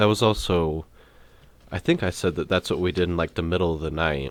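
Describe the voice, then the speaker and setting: Recorded very cleanly against a silent background, a man with a very deep, low pitch speaks at a fairly quick pace with ordinary pitch variation. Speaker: podcast host. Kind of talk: casual monologue about a festival trip. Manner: loud; casual, filler-heavy.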